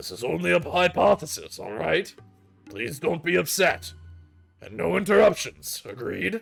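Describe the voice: A put-on character voice growls at a moderate pace with very wide pitch swings. Music plays in the background. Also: man, fairly high pitch for a man.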